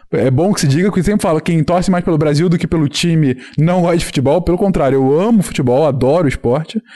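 Very fast and very even in loudness, a man speaks with a dark, mellow tone, a fairly high pitch and ordinary pitch variation. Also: hardly any pauses. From Rio de Janeiro state, Teresópolis. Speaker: science communicator podcast host. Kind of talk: casual interview chat.

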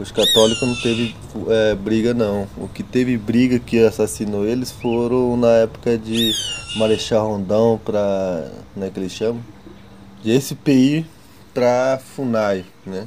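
Speaking at a very slow pace, a man with a medium pitch keeps his intonation fairly even over noticeable background noise. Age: 20s. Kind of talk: testimony. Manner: halting.

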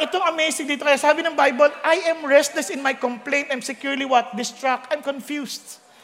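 Someone speaks at a moderate pace with fairly even intonation. Noticeable background noise is present. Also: man. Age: middle-aged. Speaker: pastor. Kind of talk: sermon.

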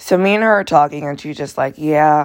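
Loud and animated in tone, a woman speaks with a very deep, low voice and ordinary pitch variation. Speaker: podcast host, college student. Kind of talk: casual personal storytelling monologue.

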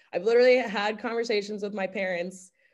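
A woman with an American accent speaks at a fairly quick pace, using a medium pitch and ordinary pitch variation. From US Northeast, Westchester County, New York. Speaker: music writer and shop owner. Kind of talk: casual interview chat.

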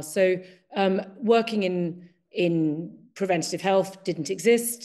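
Over a quiet background, a woman with an English accent talks in a dark, mellow tone with ordinary pitch variation. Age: 50s. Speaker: Chinese medicine practitioner. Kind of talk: casual chat.

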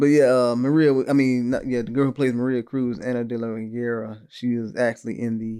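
A man's medium-pitched voice with a dark, mellow tone, monotone and flat in intonation at a very fast pace, on a very clean recording with a silent background. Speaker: podcast co-host reviewing films. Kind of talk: casual chat. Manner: casual, stumbling over words.

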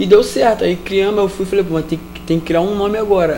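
A man with a Carioca accent talks at a very fast pace in a monotone, flat intonation. Noticeable background noise runs underneath. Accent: carioca Brazilian Portuguese. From Rio de Janeiro, Vila Militar. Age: 20s. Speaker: street musician. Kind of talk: interview.

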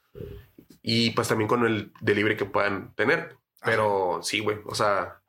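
With a Mexican accent, a man speaks at a fairly slow pace in a bright, sharp tone with a fairly low pitch. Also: ordinary pitch variation. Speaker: stand-up comedian. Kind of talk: casual chat.

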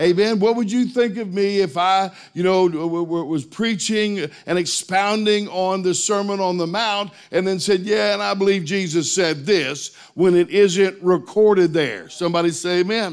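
With music in the background, a man with a high pitch speaks at a moderate pace, with ordinary pitch variation and hardly any pauses. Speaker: pastor. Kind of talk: sermon. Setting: church. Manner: emphatic preaching cadence, repeated "Amen?" calls to the congregation; declarative, forceful, building intensity.

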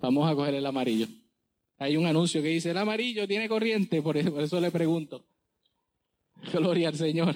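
Fairly quick and high-pitched, a man talks with very even loudness and long, frequent pauses. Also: ordinary pitch variation. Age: 40s. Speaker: pastor. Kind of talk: sermon. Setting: church.

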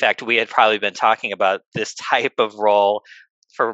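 A man with a Midwestern American accent speaks at a fairly low pitch in a bright, sharp tone. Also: dry, close sound with no echo. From US Midwest, Northwest Indiana. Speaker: sports business executive. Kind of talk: interview.

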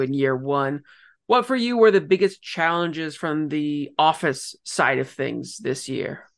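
Over a quiet background, a man with a Canadian accent uses a plain, everyday voice at a moderate pace and a fairly high pitch. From Ontario, Canada. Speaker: soccer podcast host and journalist. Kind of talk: casual chat and interviews.

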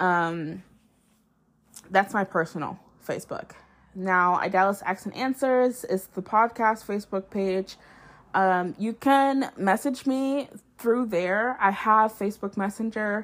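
Here a woman speaks at a very slow pace. Her pitch is medium, with ordinary variation. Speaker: solo podcast host. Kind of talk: casual solo monologue. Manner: casual with frequent filler words and pauses.

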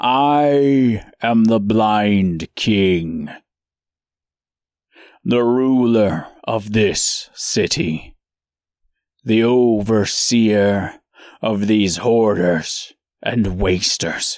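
This man talks at a very slow pace with ordinary pitch variation, very even loudness, and long, frequent pauses. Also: medium pitch for a man. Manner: slow, grave, menacing.

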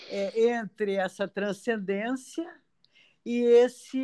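Pitch varies in an ordinary way as the words come very slowly. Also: woman. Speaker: podcast host. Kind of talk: interview conversation.

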